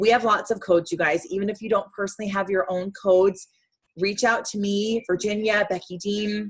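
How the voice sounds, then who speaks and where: A somewhat breathy woman's voice at a medium pitch and fairly quick pace. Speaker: direct sales team leader. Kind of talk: motivational team call. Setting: video call. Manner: fast; animated.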